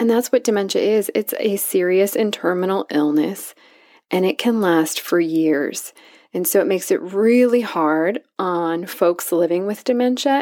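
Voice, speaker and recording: A woman's medium-pitched voice at a fairly slow pace, with lively intonation. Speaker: psychologist and podcast host. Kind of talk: solo educational podcast monologue. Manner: chipper.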